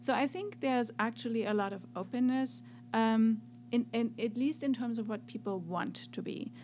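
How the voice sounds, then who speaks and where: A woman with a German accent at a moderate pace. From Germany (north, then Swabia). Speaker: professor. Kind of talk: interview. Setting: studio.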